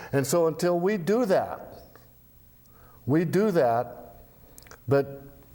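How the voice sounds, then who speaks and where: A dark, mellow tone with audible room echo. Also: man. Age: 70s. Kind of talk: casual interview. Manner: halting, repeats words.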